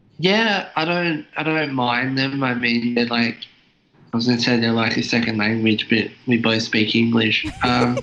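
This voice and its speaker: With an Australian accent, a man speaks at a moderate pace and very even loudness. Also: medium pitch for a man, ordinary pitch variation. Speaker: YouTuber. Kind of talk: casual chat. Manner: halting.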